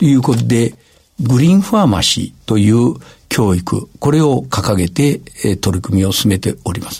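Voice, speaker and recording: A man's medium-pitched voice makes very wide pitch swings. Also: moderate pace. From Gifu Prefecture, Japan. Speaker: university president. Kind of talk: radio interview.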